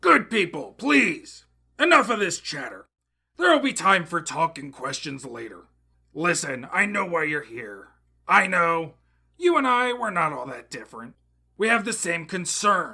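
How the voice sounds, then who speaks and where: A man puts on a raspy character voice at a high pitch and a moderate pace. His pitch swings very widely, and his loudness swings a lot. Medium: audio drama. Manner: smooth, oratorical.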